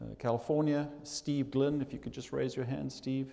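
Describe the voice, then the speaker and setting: A man with a South African accent, fairly high-pitched for a man, with a dark, mellow tone and fairly even intonation. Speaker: business school dean. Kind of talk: welcome speech. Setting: stage with audience. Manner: hesitant, many fillers.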